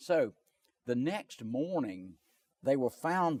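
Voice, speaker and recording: A man speaks very slowly with a Southern US accent and lively intonation. The sound is dry and close, with no echo. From North and South Carolina. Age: 70s. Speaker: lawyer. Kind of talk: interview.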